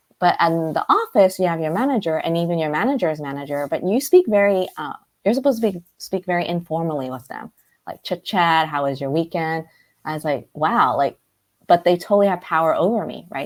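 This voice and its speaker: A woman with a Cantonese accent and a fairly low pitch, at a fairly quick pace with big swings in loudness, on a very clean recording with a silent background. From US, Brooklyn, New York. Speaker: life coach. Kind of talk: interview conversation.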